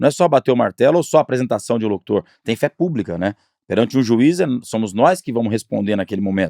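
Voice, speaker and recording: A man talks at a very fast pace with lively intonation and a dark, mellow tone. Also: medium pitch for a man, dry, close sound with no echo. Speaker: podcast host. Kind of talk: podcast interview question.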